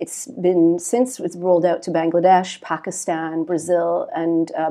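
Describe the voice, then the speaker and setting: A woman with a Canadian accent speaks at a moderate pace in a dark, mellow tone with a fairly low pitch, against a quiet background. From Canada. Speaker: nonprofit partnerships executive at a tech company. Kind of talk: interview. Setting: office meeting room.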